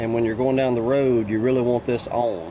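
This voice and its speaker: Medium male pitch with audible room echo and noticeable background noise. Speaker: RV dealer walk-through guide. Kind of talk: tutorial. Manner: fast.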